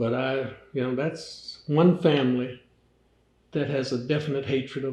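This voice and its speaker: A man speaks at a moderate pace in a fairly high, somewhat breathy voice, his intonation fairly even. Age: 80s+. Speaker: fraternity elder. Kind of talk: interview. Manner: conversational, storytelling.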